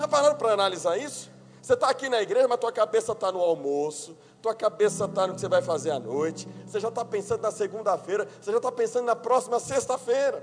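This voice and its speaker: Music plays in the background as a man speaks. His pitch swings very widely. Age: 30s. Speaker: pastor. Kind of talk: sermon. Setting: church.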